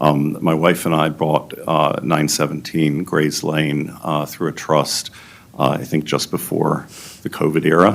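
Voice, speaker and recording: A man with a very deep, low pitch speaks in a flat monotone at a fairly slow pace. Noticeable background noise is present. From Maryland, US (Silver Spring area). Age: 60s. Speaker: local resident giving public testimony. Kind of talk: public hearing testimony. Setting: public planning board hearing. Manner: halting, many fillers.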